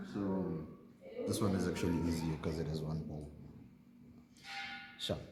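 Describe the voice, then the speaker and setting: A man at a moderate pace with music in the background and audible room echo. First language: not English, a South African home language. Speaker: mechanic demonstrating engine work. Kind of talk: hands-on tutorial. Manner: casual, halting.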